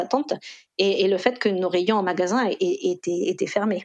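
A woman with a normal speaking voice talks at a moderate pace in a medium pitch. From Costa Rica. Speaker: e-commerce executive. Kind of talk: interview.

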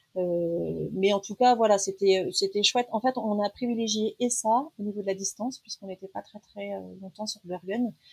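A woman speaks at a medium pitch and a moderate pace, with ordinary pitch variation. Her voice is somewhat breathy, and the sound is dry and close with no echo. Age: 40s. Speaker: traveller sharing a family trip. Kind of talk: casual interview. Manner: hesitant, many fillers.

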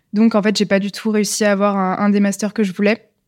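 A woman speaks at a fairly quick pace in a flat, monotone delivery. The recording is very clean, with a silent background. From France, Lyon. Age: 20s. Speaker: entrepreneur. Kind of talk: casual interview. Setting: live recording in person. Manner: hesitant, many fillers.

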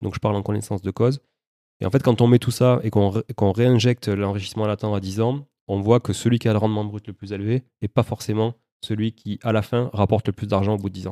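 Very fast and monotone with flat intonation, a man speaks at a fairly low pitch with a dark, mellow tone and a slight Toulouse accent, in a very clean, dry, close recording with no echo and a silent background. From Toulouse, southern France. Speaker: real estate investor. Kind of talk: interview.

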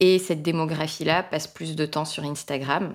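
With flat, monotone intonation, a woman talks in a very deep, low register. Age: 30s. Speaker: business trainer and author. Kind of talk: casual interview.

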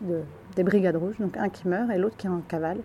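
With a dark, mellow tone, a woman speaks at a medium pitch with fairly even intonation. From southern France, Ardèche. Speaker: film director. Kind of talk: interview. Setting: café at a film festival. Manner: halting.

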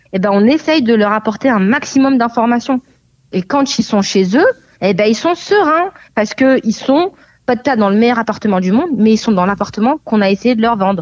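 Using a plain, everyday voice, a woman with a fairly high pitch speaks at a moderate pace with lively intonation and very even loudness. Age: 20s. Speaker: real estate agent. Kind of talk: interview.

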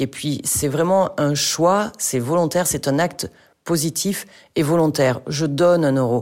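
Very slowly, a woman speaks with a very deep, low pitch, a dark, mellow tone and ordinary pitch variation. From rural France. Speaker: charity founder. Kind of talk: interview.

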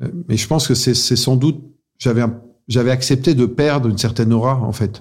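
The voice is somewhat breathy, keeps fairly even intonation, and moves at a fairly quick pace. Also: man, medium pitch for a man. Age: 50s. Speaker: business executive. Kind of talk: interview. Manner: halting.

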